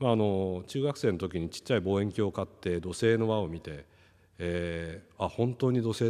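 Over a quiet background, a man speaks at a moderate pace with a fairly low pitch, a dark, mellow tone and ordinary pitch variation. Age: 50s. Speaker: company executive; keynote speaker. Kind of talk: panel presentation. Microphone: podium.

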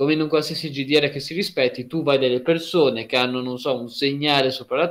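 A man with an unremarkable speaking voice talks at a fairly high pitch and a fairly quick pace. His pitch varies in an ordinary way over a quiet background. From Emilia-Romagna, Italy (Lugo, near Ravenna); Emilia-Romagna, Italy. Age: 20s. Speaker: university student; guest. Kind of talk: casual interview. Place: home room.

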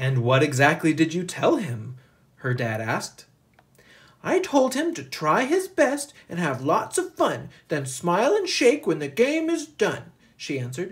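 Over a quiet background, a man talks at a fairly slow pace. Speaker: teacher reading a picture book. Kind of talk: story read-aloud. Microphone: phone near.

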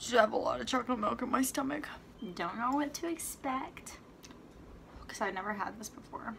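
Over light background noise, a woman's high voice moves at a fairly quick pace with lively intonation, big swings in loudness, and long, frequent pauses. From Italy. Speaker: comedic vlogger. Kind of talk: casual vlog chat. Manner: animated. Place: home room. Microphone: phone near.

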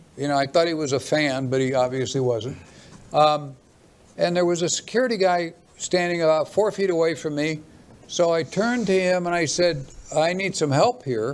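A high-pitched man's voice at a moderate pace with ordinary pitch variation. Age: 70s. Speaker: guest. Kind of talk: casual chat. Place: studio. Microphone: studio mic.

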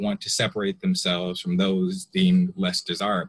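With very wide pitch swings, a man with an American accent talks at a fairly quick pace. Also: quiet background. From US South (Atlanta suburbs); US South. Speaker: audience member. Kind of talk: audience question. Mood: polite, thoughtful. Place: home room. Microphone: earbuds.

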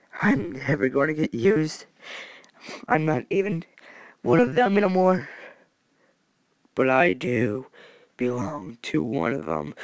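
The speaker uses a put-on character voice at a low-to-middle pitch. Delivery is fairly slow, with long, frequent pauses. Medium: role play. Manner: melancholy.

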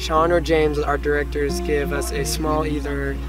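A woman speaks at a moderate pace. The sound is dry with no echo, and music plays in the background. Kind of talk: interview answer. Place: open country.

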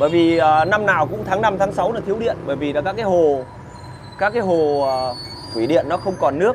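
There is noticeable background noise as a man speaks at a high pitch. He moves at a fairly quick pace but takes long, frequent pauses. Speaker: online video host; political commentator. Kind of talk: casual chat, live stream with viewers. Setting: live stream. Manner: animated, colloquial, crude. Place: cafe. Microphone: lapel.

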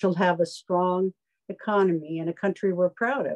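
Talking at a fairly quick pace, a woman has a normal speaking voice at a medium pitch with fairly even intonation. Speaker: retired educator and discussion moderator. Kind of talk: moderated panel discussion. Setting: video call.

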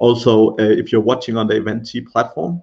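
A man speaks at a moderate pace in a fairly low pitch with fairly even intonation. His voice has a slightly husky edge and vocal fry.

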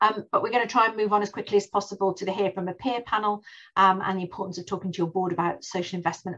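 The background stays quiet. A woman talks very fast. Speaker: webinar host. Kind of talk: webinar presentation. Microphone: video call.

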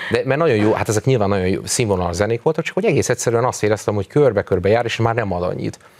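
The speaker races along at a very fast pace with lively intonation and hardly any pauses. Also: man. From Hungary. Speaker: folk musician and cultural institute director; interview guest. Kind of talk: interview. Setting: studio. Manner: hesitant, repeats words. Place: studio. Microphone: lapel.

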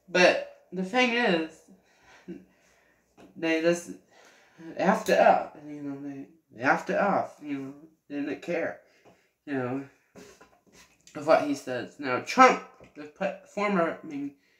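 The speech is very slow, with long, frequent pauses, lively intonation and big swings in loudness. Audible room echo sits over a quiet background. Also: man, high pitch for a man. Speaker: vlogger. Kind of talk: casual monologue; casual commentary. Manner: halting. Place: home room. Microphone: webcam.

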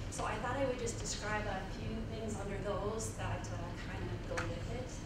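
A woman at a moderate pace, with audible room echo and loud background noise. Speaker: professor. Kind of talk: lecture. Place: hall.

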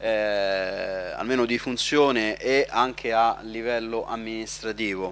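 Speaking at a very slow pace, a man keeps a fairly even intonation in a dry sound with no echo. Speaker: local councillor. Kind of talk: formal council speech. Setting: council chamber. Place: hall. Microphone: podium.

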